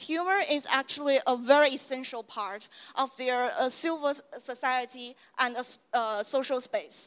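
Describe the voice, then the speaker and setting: A high-pitched woman's voice in a Chinese accent, with ordinary pitch variation. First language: Mandarin Chinese. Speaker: university lecturer. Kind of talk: lecture. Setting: stage with audience.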